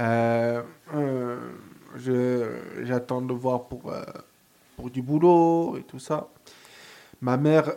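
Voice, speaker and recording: This man's voice sits at a medium pitch. The recording is very clean, with a silent background. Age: 20s. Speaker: first-time radio columnist, aspiring DJ. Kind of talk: radio column and personal testimony. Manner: halting.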